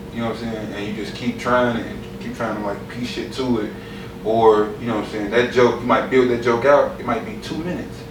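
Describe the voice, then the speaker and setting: Amid noticeable background noise and audible room echo, a man at medium pitch talks at a fairly quick pace with fairly even intonation and big swings in loudness. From Austin, Texas. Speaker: comedian. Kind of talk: casual podcast interview.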